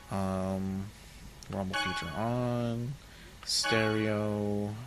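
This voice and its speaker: A man speaks at a fairly low pitch with fairly even intonation while music plays in the background. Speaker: let's play gamer. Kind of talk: casual gameplay commentary. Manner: mumbling.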